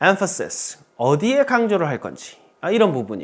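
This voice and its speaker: A man with very wide pitch swings. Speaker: English instructor lecturer. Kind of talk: lecture. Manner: not fast-paced.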